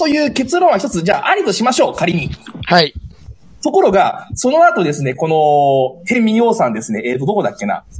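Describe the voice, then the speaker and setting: Through noticeable background noise, a man with a high pitch talks at a fairly quick pace, with very wide pitch swings. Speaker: teacher. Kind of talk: book review. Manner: heated, indignant.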